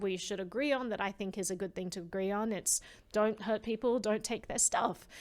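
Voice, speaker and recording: Fairly quick in pace, a woman with an Australian accent talks at a medium pitch with fairly even intonation on a very clean recording with a silent background. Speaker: privacy advocate. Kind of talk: interview conversation.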